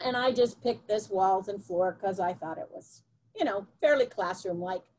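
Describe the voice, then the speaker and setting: A woman speaks at a moderate pace in a normal speaking voice, her pitch medium with ordinary variation. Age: 60s. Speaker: teacher. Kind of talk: webinar presentation.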